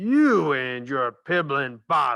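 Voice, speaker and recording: A man speaks in a put-on character voice at a medium pitch. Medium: read story. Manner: booming, bullying.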